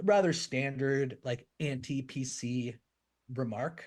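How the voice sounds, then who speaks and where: This is a man's voice. He speaks with a Canadian accent. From Canada. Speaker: comedian and podcast co-host. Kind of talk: casual podcast chat.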